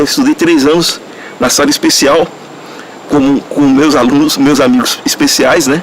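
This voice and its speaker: There is noticeable background noise behind a man. He talks at a moderate pace with ordinary pitch variation. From Brazilian Northeast. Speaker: interviewee in documentary. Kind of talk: testimony.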